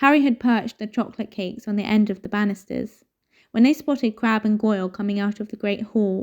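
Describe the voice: Plain reading aloud with fairly even intonation comes over a quiet background.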